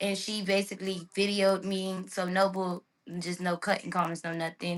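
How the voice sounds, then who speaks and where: Monotone and flat, a medium-pitched woman with an American accent talks at a fairly quick pace. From Miami, Florida. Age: 20s. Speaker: interviewee, assault victim. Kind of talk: interview testimony. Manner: casual, hesitant with fillers.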